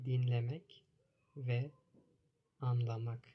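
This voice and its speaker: At a very slow pace, a man with a medium pitch speaks in a dark, mellow, somewhat breathy tone. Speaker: language teacher. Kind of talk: language lesson. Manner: repetitive, simple phrasing.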